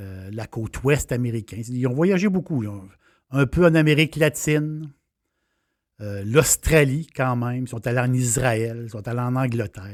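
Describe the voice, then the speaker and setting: In a very clean recording with a silent background, a man with a Quebec accent speaks at medium pitch and a fairly slow pace, with ordinary pitch variation. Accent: Québécois French. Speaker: wine and travel chronicler. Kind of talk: casual monologue. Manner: halting, many fillers.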